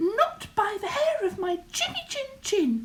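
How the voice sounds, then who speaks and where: In a put-on character voice, a woman sounds squeaky at an extremely high pitch, swinging very widely in pitch at a fairly slow pace. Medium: read story. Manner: defiant.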